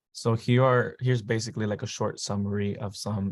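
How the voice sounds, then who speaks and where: The man's pitch sits fairly low. The recording is very clean, with a silent background. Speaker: university student. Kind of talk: panel presentation.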